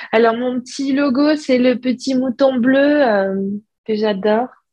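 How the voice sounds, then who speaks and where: Speaking at a very slow pace, this woman shows ordinary pitch variation. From southeastern France (Alpes-de-Haute-Provence). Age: 30s. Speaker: hand-dyed yarn maker. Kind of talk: interview. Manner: hesitant, many fillers.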